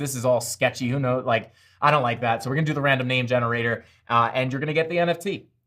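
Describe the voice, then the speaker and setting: Talking at a very fast pace with a Long Island accent, a man uses ordinary pitch variation and a bright, sharp tone. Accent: Long Island New York. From Long Island, New York. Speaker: crypto live streamer. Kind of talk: live stream chat. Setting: live stream. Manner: animated.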